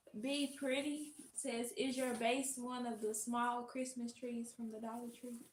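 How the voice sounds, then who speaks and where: In a Southern US accent, a woman talks fairly slowly with hardly any pauses, her high voice monotone and flat. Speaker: host's assistant. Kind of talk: reading viewer comments aloud. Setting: livestream.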